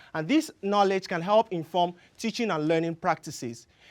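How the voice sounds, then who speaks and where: Someone with a Yoruba accent speaks at a fairly quick pace. The recording is very clean, with a silent background. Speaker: graduate student. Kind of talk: competition research talk.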